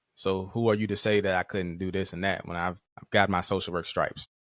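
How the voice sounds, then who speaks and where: A man with a slight country accent and a fairly low pitch talks at a fairly quick pace with fairly even intonation, in a very clean recording with a silent background and a dry, close sound with no echo. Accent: slight country twang. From Virginia, Caroline County. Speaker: social work professor and clinician. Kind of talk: podcast interview. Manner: fast; slightly slurred words.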